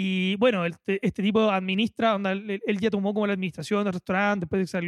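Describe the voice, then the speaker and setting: A man with a Chilean accent speaks very fast at a high pitch with ordinary pitch variation. The recording is very clean with a silent background, its sound dry and close with no echo. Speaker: podcast co-host. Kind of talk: casual chat.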